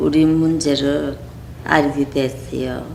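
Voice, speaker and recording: A woman talks very slowly, her voice carrying audible room echo amid noticeable background noise. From Korea. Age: 80s+. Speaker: war survivor. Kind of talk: interview.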